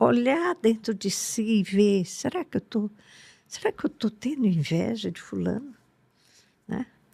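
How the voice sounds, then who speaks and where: The voice has vocal fry, a dark, mellow tone and lively intonation at a fairly slow pace. The sound is dry and close, with no echo. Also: woman. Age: 80s+. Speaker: spiritual teacher. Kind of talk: podcast interview.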